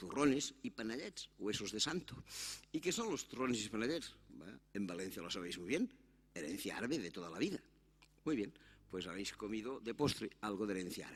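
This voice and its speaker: A man speaks with a Catalan accent at a fairly quick pace. His medium pitch moves in very wide swings. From Catalonia, Spain. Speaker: conference speaker on immigration. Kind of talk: conference talk. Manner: animated.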